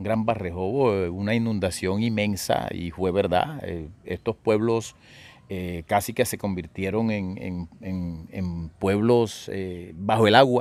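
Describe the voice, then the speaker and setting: At a very slow pace, a man speaks with ordinary pitch variation on a very clean recording with a silent background. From Córdoba, Colombia. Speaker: radio announcer, writer, actor and decima poet. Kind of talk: interview answer.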